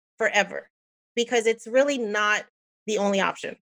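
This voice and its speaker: Here is a woman with a fairly high pitch and lively intonation. She has a normal speaking voice. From New Jersey, US (Puerto Rican family). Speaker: engineer and personal finance podcaster. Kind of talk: casual interview chat.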